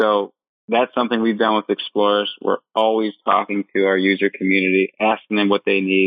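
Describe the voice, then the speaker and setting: Speaking at a fairly quick pace with an American accent, a man keeps a fairly low pitch, monotone, flat intonation and very even loudness. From Michigan, US. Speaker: startup founder and CEO. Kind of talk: interview.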